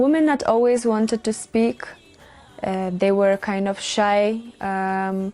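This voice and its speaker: A woman at a very slow pace with a Lithuanian accent, medium pitch, ordinary pitch variation and a dark, mellow tone. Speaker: volunteer nurse. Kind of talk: interview testimony. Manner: halting.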